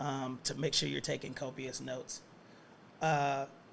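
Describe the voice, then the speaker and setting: A man with an American accent and a fairly high pitch speaks amid audible room echo. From US South, Atlanta. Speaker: professor. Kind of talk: lecture.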